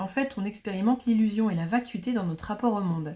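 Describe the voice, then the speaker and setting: Her tone is dark and mellow. The woman sounds somewhat breathy. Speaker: astrologer. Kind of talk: lecture. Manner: fast.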